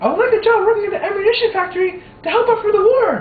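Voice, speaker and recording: A woman puts on a squeaky character voice, extremely high in pitch with ordinary variation, talking at a very fast pace with a slight echo. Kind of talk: amateur student skit. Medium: stage play.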